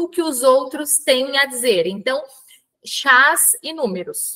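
A woman's high, bright, sharp voice comes through over a quiet background. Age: 40s. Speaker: bariatric surgery patient. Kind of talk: personal testimony. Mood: calm, reflective. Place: home room. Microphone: webcam.

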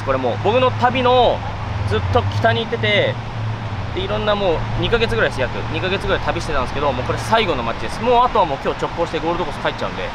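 A man talks at a very fast pace. Loud background noise fills a dry recording with no echo. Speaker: fitness vlogger. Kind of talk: casual vlog chat. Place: beach. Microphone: phone near.

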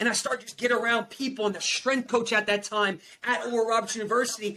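A man speaks very fast in a raised, projected voice with an American accent, his pitch extremely high and his tone bright, sharp and animated. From New Jersey. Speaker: performance coach and motivational speaker. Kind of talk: motivational testimony. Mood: emotional personal story. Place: home room.

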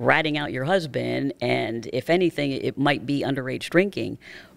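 A woman's very deep, low voice with vocal fry and an American accent, at a moderate pace in a dry sound with no echo. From northeastern Pennsylvania. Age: 60s. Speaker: former TV news anchor and author. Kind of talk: interview testimony. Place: studio. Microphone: studio mic.

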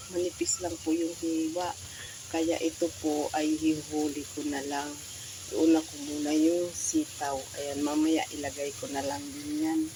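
A woman's very deep, low voice at a fairly slow pace with fairly even intonation, against noticeable background noise. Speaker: cooking vlogger. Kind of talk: cooking tutorial. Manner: casual, repetitive fillers.

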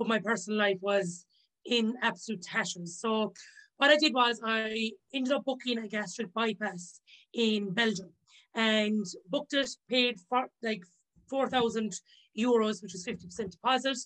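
A woman talks at a fairly slow pace with long, frequent pauses. The background is quiet. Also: ordinary pitch variation. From Ireland, County Limerick. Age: 30s. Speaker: chef and author. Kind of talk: casual interview chat. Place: home room. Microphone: video call.

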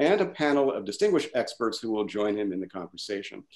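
A man talks very fast against a quiet background. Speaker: event host. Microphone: webcam.

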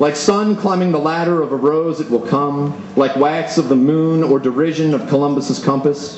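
A man with an American accent and an animated, playful tone talks at a moderate pace in a fairly high pitch with ordinary pitch variation, amid audible room echo and light background noise. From Pennsylvania, US. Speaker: poet. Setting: stage with audience at a live reading. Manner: animated, playful and self-amused, breaking into laughter mid-poem. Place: stage.

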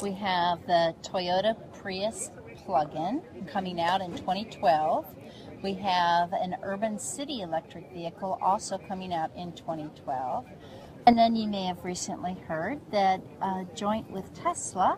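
A woman at a fairly slow pace, ordinary pitch variation, noticeable background noise and a dry sound with no echo. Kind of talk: interview answer. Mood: upbeat, promotional. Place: hall.

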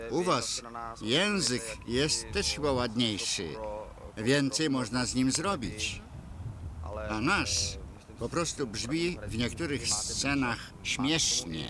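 Noticeable background noise surrounds a man speaking at a very slow pace with long, frequent pauses. His pitch is medium and his intonation lively. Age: old. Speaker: voice-over reader. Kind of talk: voice-over translation of interview.

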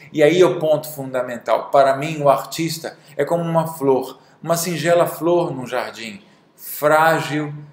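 Audible room echo surrounds a man with a fairly high pitch. He talks at a fairly slow pace with fairly even intonation. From Brazil. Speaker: drawing teacher and artist; drawing teacher. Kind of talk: video monologue. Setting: studio. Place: studio. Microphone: webcam.

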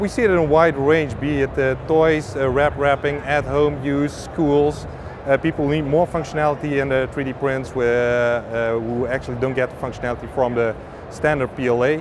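Against noticeable background noise, a man with a fairly high pitch speaks at a moderate pace with fairly even intonation, the sound dry with no echo. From Netherlands. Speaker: filament company representative. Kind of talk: interview. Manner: halting. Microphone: lapel.

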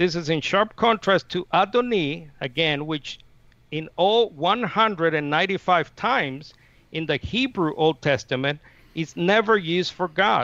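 In a dry recording with no echo, a man with a high pitch and a bright, sharp tone talks very slowly with lively intonation. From Nicaragua. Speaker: Unitarian debater and channel manager; debater. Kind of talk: formal debate. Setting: video call.

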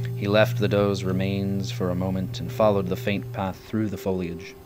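Music plays in the background as a man with a very deep, low pitch talks at a moderate pace. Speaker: author reading own book. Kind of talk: audiobook excerpt reading.

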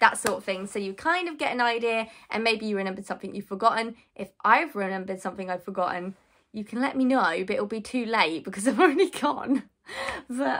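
Over a quiet background, a woman talks at a very fast pace with lively intonation. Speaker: vlogger. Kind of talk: casual vlog chat. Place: home room. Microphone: phone near.

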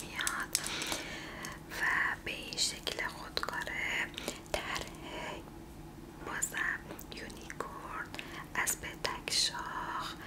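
A soft-spoken woman talks at a very slow pace. Loud noise fills the background. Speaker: presenter. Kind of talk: soft product showcase talk, ASMR-like. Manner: soft, intimate ASMR voice. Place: home room.

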